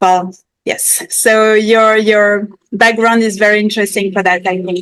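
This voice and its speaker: A fairly slow pace and monotone, flat intonation. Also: woman, fairly high pitch for a woman. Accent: French. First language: French. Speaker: podcast host. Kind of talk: podcast interview. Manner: halting.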